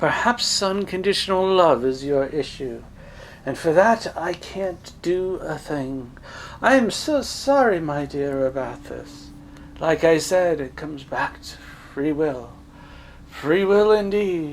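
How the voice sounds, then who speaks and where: Over clear background noise, a man does a put-on character voice at a high pitch and a fairly slow pace. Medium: read story. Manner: patronizing, calls him dear.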